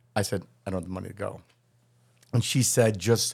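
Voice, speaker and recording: A man with a plain, everyday voice and an American accent, fairly quick, with ordinary pitch variation. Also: very clean recording, silent background. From US Midwest, Chicago north suburbs. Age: 60s. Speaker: criminal defense attorney. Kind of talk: casual interview.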